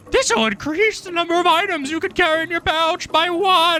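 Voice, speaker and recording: In a put-on character voice, the speaker talks at an extremely high pitch. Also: moderate pace. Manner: exaggerated, imitative.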